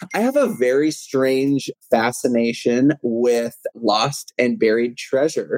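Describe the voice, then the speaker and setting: Speaking very slowly in an American accent, a man keeps a medium pitch with ordinary pitch variation. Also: dry, close sound with no echo. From Texas. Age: 20s. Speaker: videographer. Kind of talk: casual interview chat.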